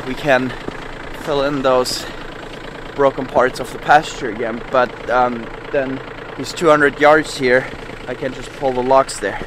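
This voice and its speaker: Pausing long and often, a man speaks in a flat monotone, in a dry recording with no echo but noticeable background noise. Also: fairly slow pace. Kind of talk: casual vlog chat. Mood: relieved, mildly satisfied. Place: farm machine. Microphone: phone near.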